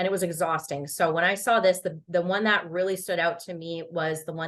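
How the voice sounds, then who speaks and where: Her voice sits fairly low in pitch. The woman keeps a fairly quick pace. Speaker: online business coach. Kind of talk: webinar presentation. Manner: fast; animated.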